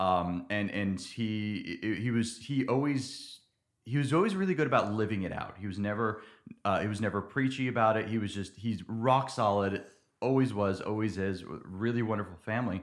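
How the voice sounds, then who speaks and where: A man with an American accent and a normal speaking voice, fairly low in pitch, with ordinary pitch variation. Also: moderate pace. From New Jersey. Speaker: church member. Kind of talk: interview testimony.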